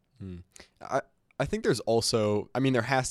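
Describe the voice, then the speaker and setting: A man with an ordinary speaking voice at a moderate pace, in a very clean recording with a silent background and a dry, close sound with no echo. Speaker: student podcast host. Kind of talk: casual interview.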